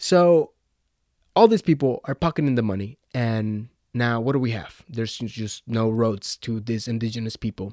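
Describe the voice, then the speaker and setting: A male voice of medium pitch and dark, mellow tone with ordinary pitch variation, moderate pace, and a dry, close sound with no echo on a very clean recording with a silent background. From Mexico. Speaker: podcast host. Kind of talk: casual solo commentary.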